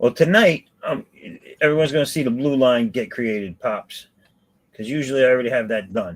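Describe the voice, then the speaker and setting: With lively intonation, a normal speaking voice goes along fairly quickly. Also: man, medium pitch for a man. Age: 50s. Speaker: live-stream host and artist. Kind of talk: casual chat. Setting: live stream. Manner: casual, swearing, joking.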